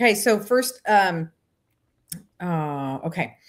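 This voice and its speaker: Speaking with very wide pitch swings, a woman's voice climbs and drops sharply. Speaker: psychic medium. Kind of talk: live psychic reading. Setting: live online show. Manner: fast.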